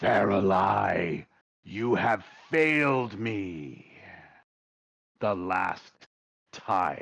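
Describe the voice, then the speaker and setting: Using a put-on character voice, a man sounds booming and raspy at a fairly low pitch with lively intonation. He talks at a very slow pace, leaving long, frequent pauses. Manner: angry, commanding, menacing.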